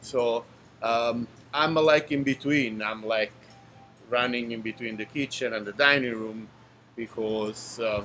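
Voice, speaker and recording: A man in an Italian accent at a fairly slow pace, with fairly even intonation, long, frequent pauses and music in the background. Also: medium pitch for a man. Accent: natural Italian. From Italy, Naples area. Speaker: restaurant owner. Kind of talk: casual interview. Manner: halting, many fillers.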